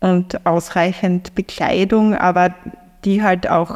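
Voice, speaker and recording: A woman in a Styrian accent, medium-pitched, with fairly even intonation and a very slow pace. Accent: Austrian (Styrian) German. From Austria, eastern Styria (Feldbach). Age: 50s. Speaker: sociologist and cycle traveller. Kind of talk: interview storytelling. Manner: hesitant, many fillers.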